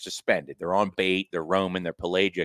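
On a very clean recording with a silent background, a man with fairly low pitch talks at a very fast pace, the sound dry and close with no echo. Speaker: podcast co-host. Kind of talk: casual chat.

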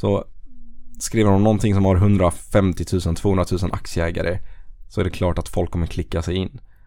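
A man with a very deep, low pitch speaks at a moderate pace. His tone is dark and mellow, his intonation monotone and flat. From Blekinge, southern Sweden. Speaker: personal finance podcaster and investing educator. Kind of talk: casual interview.

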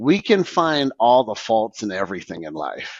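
With lively intonation, a normal speaking voice moves at a fairly slow pace. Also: man. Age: 50s. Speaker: moving company owner. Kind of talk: casual chat. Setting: video podcast.

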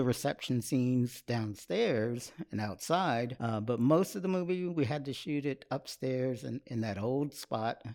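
In a very clean recording with a silent background, a man with an American accent speaks at a moderate pace, his medium pitch carrying a dark, mellow tone. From Austin, Texas. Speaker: film director. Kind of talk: casual interview.

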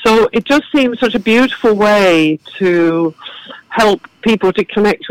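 With an English accent, a woman speaks at a fairly slow pace and with ordinary pitch variation, in a dry, close sound with no echo. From southern England. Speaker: garden and cafe founder. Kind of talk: casual interview chat.

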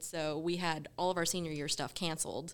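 A woman with a fairly low pitch and a bright, sharp tone talks at a fairly quick pace in a very clean recording with a silent background. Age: 20s. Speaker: podcast producer. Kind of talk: casual chat.

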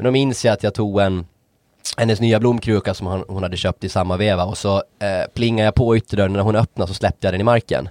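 A man with a fairly low pitch talks at a very fast pace with fairly even intonation, recorded dry and close with no echo, very clean and with a silent background. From Åland, Finland. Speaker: podcast co-host. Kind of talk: casual chat.

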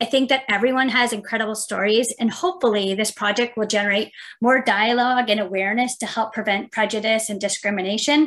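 At a very fast pace and with hardly any pauses, a woman talks in a fairly high voice with ordinary pitch variation. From Mississauga, Ontario. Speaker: heritage outreach coordinator. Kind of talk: casual interview chat.

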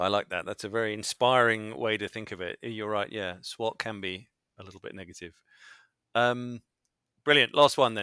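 In a British accent, a man with a fairly low pitch talks at a moderate pace with fairly even intonation, his bright, sharp tone showing big swings in loudness, captured as dry, close sound with no echo on a very clean recording against a silent background. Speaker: podcast host, user research consultant. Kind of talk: casual interview.

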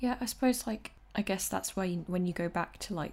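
A woman's voice comes through somewhat breathy. The recording is very clean, with a silent background. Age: 20s. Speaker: podcast host. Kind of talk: casual chat.

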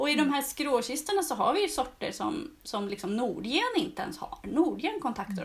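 Very wide pitch swings from a woman talking at a moderate speed. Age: 40s. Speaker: gardening blogger and seed-saving course teacher. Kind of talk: casual chat.

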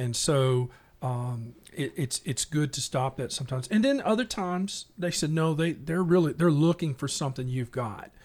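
A somewhat breathy voice in a Tennessee accent moves at a moderate pace with lively intonation and hardly any pauses. The recording is very clean, with a silent background. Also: man, fairly high pitch for a man. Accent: Southern US (Tennessee). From Middle Tennessee (west of Nashville). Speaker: salesperson. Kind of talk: casual chat. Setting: studio.

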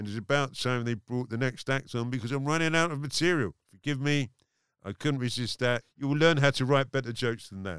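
With a dry, close sound and no echo, a man talks at a fairly quick pace in a medium pitch with ordinary pitch variation, a normal speaking voice. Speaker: comedian and podcast host. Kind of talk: casual interview chat. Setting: studio.

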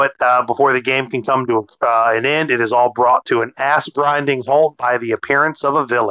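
A man's medium-pitched voice with a bright, sharp tone, fairly even intonation and a moderate pace, in a dry, close sound with no echo. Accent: American. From US South. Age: 40s. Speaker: anime podcast co-host. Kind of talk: casual chat. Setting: at home in the kitchen.

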